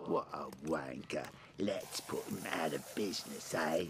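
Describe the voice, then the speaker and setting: Over clear background noise, a man puts on a character voice with a Cockney accent, speaking at a fairly slow pace. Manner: scary, menacing, put on.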